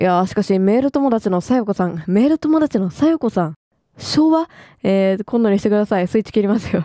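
A woman speaks at a fairly quick pace in a dark, mellow tone with lively intonation, the sound dry and close with no echo. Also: medium pitch for a woman. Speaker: game commentator. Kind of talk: let's play commentary, reading game dialogue aloud.

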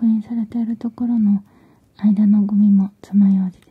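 A soft-spoken woman whispering against a quiet background. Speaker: ASMR creator. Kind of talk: soft ASMR roleplay talk. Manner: soft close ASMR whisper. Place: home room.

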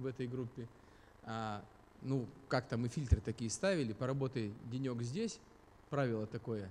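Light background noise is present. Over it, a man speaks at a moderate pace, his pitch varying in an ordinary way. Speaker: speaker. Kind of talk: lecture. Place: hall. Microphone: studio mic.

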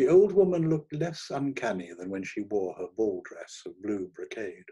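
The pitch swings widely as the speaker talks at a fairly slow pace, with a slightly mellow tone and a slightly husky edge. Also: man.

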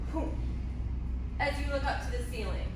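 Loud background noise and audible room echo accompany a woman speaking. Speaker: dance teacher. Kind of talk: tutorial. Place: hall. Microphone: camera far.

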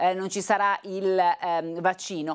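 A woman is speaking. The background is quiet. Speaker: TV presenter. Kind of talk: news presentation. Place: studio.

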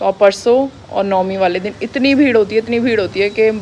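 Light background noise sits under the recording. A woman speaks with fairly even intonation. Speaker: family vlogger. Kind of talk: casual vlog chat. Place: street. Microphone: phone near.

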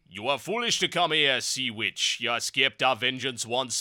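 A man speaks in a put-on character voice at a moderate pace. His pitch sits in the medium range. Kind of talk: archaic, declamatory. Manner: hammy, theatrical, menacing.

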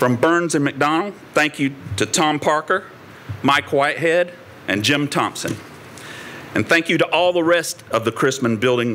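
A man talks at a moderate pace with lively intonation. Noticeable background noise runs behind him. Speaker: university administrator. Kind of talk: ceremonial speech. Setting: podium before live audience.

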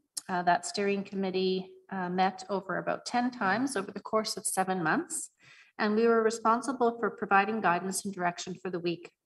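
The voice is somewhat breathy. Its pitch varies in an ordinary way. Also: woman, fairly quick pace. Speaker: city department director; presenter. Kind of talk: report presentation. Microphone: video call.

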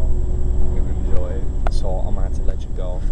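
Fairly quick speech from a man amid loud background noise. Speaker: traveler vlogger. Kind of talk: casual vlog chat. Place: bus. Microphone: phone near.

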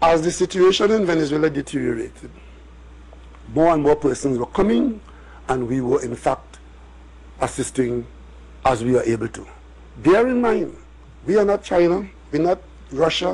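This man's intonation is lively and his pace moderate. He leaves long, frequent pauses. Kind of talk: press conference statement. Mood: firm, assertive. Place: hall. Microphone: podium.

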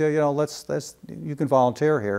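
Over a quiet background, a man speaks at a moderate pace with a fairly high pitch. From US Midwest, Chicago area. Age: 60s. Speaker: UFO research organization director. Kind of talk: interview. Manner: halting, many fillers. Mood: calm, reflective. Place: home room. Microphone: lapel.

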